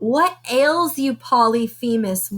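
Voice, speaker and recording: In a put-on character voice, a woman talks at a high pitch. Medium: read story.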